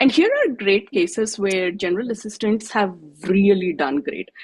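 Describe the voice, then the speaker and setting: Someone with an Odisha accent speaks at a moderate pace with lively intonation. The sound is dry and close, with no echo. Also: woman. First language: Odia. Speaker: tech presenter. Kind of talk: presentation.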